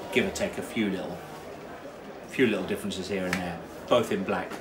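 The speaker goes at a fairly quick pace. Noticeable background noise runs underneath. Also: man. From southern England. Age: 50s. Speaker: racecourse commentator. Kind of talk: casual interview chat. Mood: animated storytelling. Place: home room. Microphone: phone near.

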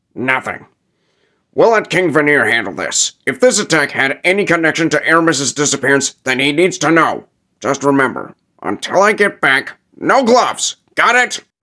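On a very clean recording with a silent background, a man speaks at a fairly high pitch with very wide pitch swings. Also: moderate pace. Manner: gruff, blunt.

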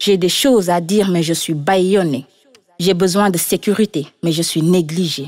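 With an unremarkable speaking voice, a woman talks at a fairly slow pace, her fairly low pitch carrying ordinary pitch variation and very even loudness. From Senegal. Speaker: graffiti artist and spoken word artist. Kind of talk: spoken word poetry performance.

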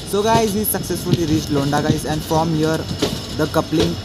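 The speech has a moderate pace against loud background noise. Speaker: travel vlogger. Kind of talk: casual vlog chat. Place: train. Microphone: phone near.

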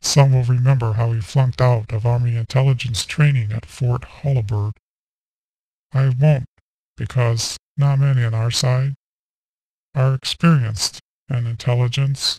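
A solemn, deadpan man at medium pitch, somewhat breathy, moderately paced with long, frequent pauses, fairly even intonation and a dry, close sound with no echo. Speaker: political satirist. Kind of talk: mock funeral eulogy parody delivered as a solemn presidential speech. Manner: solemn, measured oratorical cadence undercut by deadpan punchlines; breaks into a brief chuckle mid-sentence.

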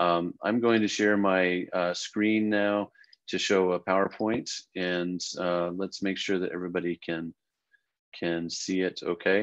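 A man speaks in a very deep, low pitch at a fairly slow pace. His intonation is monotone and flat against a quiet background. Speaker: program director and professor. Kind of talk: info session presentation. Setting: video call. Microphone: video call.

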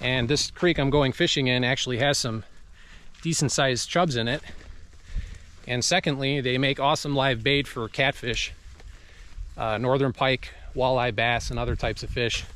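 With fairly even intonation and long, frequent pauses, a man talks at a moderate pace in a dry sound with no echo. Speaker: fishing vlogger. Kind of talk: casual vlog chat. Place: forest. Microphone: phone near.

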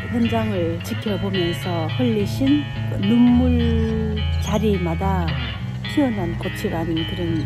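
Loud music plays in the background as a woman speaks at a very slow pace, her voice dry with no echo. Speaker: poet who reads poems, literary channel host. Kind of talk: casual explanatory talk to camera about a flower's legend. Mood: gentle, warm, reflective. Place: forest. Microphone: phone near.

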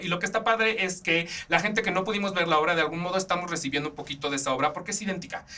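A man's high-pitched, animated voice at a very fast pace, with lively intonation. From Mexico. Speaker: podcast host. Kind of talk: casual film and theatre reviews. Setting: studio.

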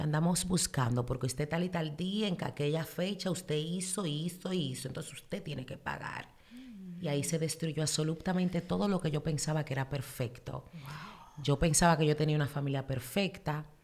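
A woman's very deep, low voice with an animated tone, ordinary pitch variation, a moderate pace and hardly any pauses. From Dominican Republic, raised in New York from age 10-12. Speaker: social media influencer. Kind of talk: casual interview. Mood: emotional personal storytelling. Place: studio. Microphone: studio mic.

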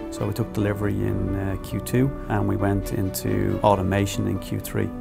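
A man speaks at a fairly quick pace over clear music in the background. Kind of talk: interview answer. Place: office. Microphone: lapel.

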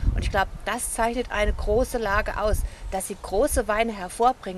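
Over light background noise, a woman speaks at a moderate pace with fairly even intonation, and the sound is dry with no echo. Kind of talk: wine tasting presentation. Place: open country.

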